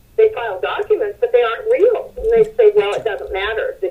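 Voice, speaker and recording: A woman speaks over noticeable background noise. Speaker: homeowner fighting foreclosure. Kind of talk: testimony.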